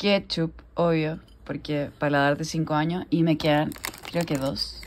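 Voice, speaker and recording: A woman with a Chilean accent speaks at a fairly slow pace in a very deep, low voice. Her intonation is monotone and flat, in a very clean recording with a silent background. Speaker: lifestyle vlogger. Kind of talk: casual vlog talk to camera.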